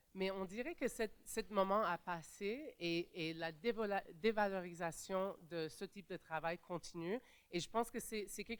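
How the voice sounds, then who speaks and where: A woman talks at a moderate pace with hardly any pauses. Her medium pitch shows ordinary variation. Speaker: panelist, migrant rights advocate. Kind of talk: conference panel talk. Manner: halting, many fillers and restarts.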